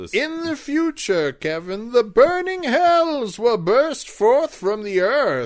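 A man's put-on character voice, extremely high in pitch, at a very slow pace with hardly any pauses. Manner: ominous, prophetic.

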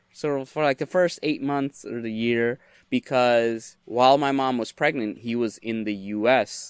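At a fairly slow pace, a man with a medium pitch and a normal speaking voice talks with ordinary pitch variation. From United States (immigrated from Bangladesh at age 3-4). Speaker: career coach and resume writer. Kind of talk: casual interview.

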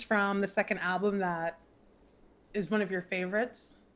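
At a moderate pace, a woman speaks in an unremarkable speaking voice pitched fairly high, captured in a very clean recording with a silent background. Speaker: podcast host. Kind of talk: casual interview chat. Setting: recording from a closet at home.

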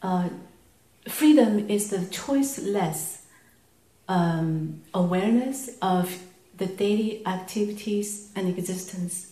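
A woman with a Chinese accent speaks at a very slow pace in a medium pitch, with ordinary pitch variation and long, frequent pauses. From China. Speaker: audience member. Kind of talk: question to teacher.

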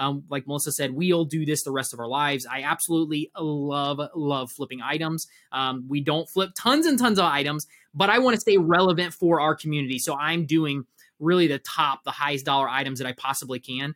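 In a very clean recording with a silent background and a dry, close sound free of echo, a man with a normal speaking voice talks at a fairly quick pace, his fairly high pitch showing ordinary variation. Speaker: reseller and business coach. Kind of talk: casual chat.

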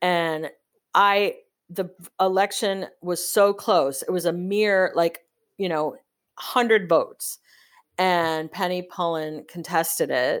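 A woman's medium-pitched voice with an American accent, very slow pace, long and frequent pauses and fairly even intonation, on a very clean recording with a silent background. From Chicago, US Midwest. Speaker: wine importer sales manager. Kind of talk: casual interview chat.

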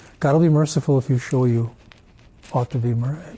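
A man speaks at a moderate pace with a medium pitch and ordinary pitch variation. His tone is dark and mellow, and somewhat breathy. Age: 70s. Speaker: religion teacher leading a church class. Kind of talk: church class talk with discussion. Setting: church meeting room with group.

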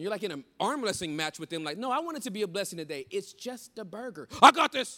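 Talking at a very fast pace with hardly any pauses, a man projects a raised, high-pitched voice with a bright, sharp, animated tone, very wide pitch swings and big swings in loudness. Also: very clean recording, silent background. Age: 40s. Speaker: pastor. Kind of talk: sermon. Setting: stage with audience.

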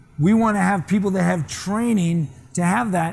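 Amid noticeable background noise and audible room echo, a man with a high pitch talks at a moderate pace with ordinary pitch variation. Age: 50s. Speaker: master sommelier and restaurateur. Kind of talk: seminar talk. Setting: small seminar audience.

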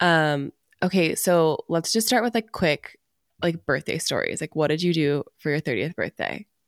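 In a plain, everyday voice, a woman speaks at a moderate pace with lively intonation and a fairly low pitch, on a very clean recording with a silent background and a dry, close sound with no echo. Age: 30s. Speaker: podcast co-host. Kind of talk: casual chat.

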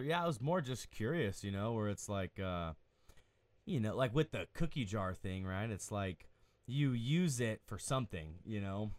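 Using very wide pitch swings, a man of medium pitch speaks at a moderate pace. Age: 20s. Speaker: podcast co-host and counselor. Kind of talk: casual interview chat.

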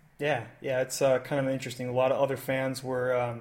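Medium-pitched male voice at a moderate pace, with noticeable background noise. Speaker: podcast host. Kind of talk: casual chat. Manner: halting, many filler words.

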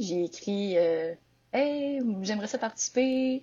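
Speaking fairly slowly, a woman uses a normal speaking voice at a medium pitch. Her intonation is lively. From Quebec, Victoriaville. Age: 20s. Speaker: entrepreneur. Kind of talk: interview.

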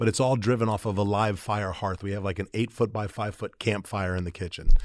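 A normal speaking voice with an American accent and fairly even intonation. The recording is very clean, with a silent background. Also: man. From Florida, St. Petersburg. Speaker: restaurant entrepreneur. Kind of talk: interview.

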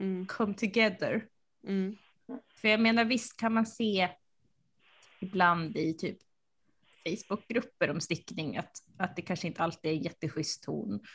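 A woman talks at a moderate pace with ordinary pitch variation in an ordinary speaking voice. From Sweden, central Uppsala. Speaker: podcast co-host, knitter. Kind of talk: casual chat.

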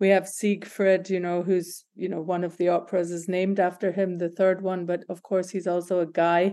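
A woman with a medium pitch and a dark, mellow tone speaks at a moderate pace with hardly any pauses. Her intonation is monotone and flat, over a quiet background. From Scotland, Glasgow. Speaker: creative director. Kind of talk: interview. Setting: remote call.

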